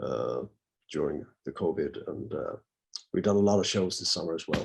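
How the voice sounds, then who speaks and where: A man speaks with a Swedish accent. His pace is fairly quick. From Sweden, Gothenburg. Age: 50s. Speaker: rock singer. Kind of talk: interview.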